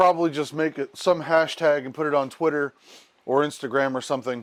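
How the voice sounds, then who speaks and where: Over a quiet background, a man with an unremarkable speaking voice talks at a fairly quick pace in a fairly high pitch. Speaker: photography YouTuber. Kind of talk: casual vlog talk to camera.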